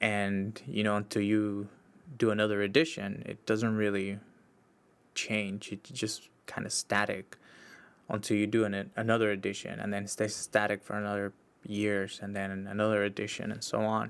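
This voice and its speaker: Very clean, with a silent background, this recording has a man speaking at a fairly low pitch in a Spanish accent. He keeps a moderate pace and a monotone, flat intonation. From Mexico, Baja California. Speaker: podcast host, social worker. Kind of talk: solo podcast monologue. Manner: casual, with frequent fillers and restarts.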